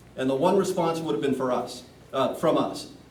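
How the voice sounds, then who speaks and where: Room echo is audible, and background noise is noticeable. A man with a fairly high voice speaks at a fairly quick pace with ordinary pitch variation. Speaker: commercial real estate broker, community center board member. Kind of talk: public meeting Q&A. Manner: loud, projecting; hesitant, repeats words.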